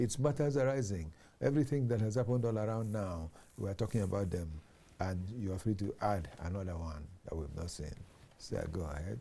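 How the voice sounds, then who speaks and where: A man with a fairly low pitch and a dark, mellow tone, somewhat breathy, lively in intonation and fairly quick in pace. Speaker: TV talk show host. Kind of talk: TV panel discussion.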